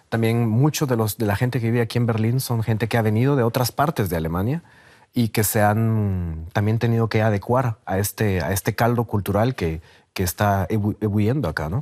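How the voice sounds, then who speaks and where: In a very clean recording with a silent background, a man of medium pitch talks at a fairly quick pace with ordinary pitch variation and very even loudness, the sound dry and close with no echo. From Guatemala. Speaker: sociologist and documentary maker. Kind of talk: TV interview. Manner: halting, many repetitions and fillers.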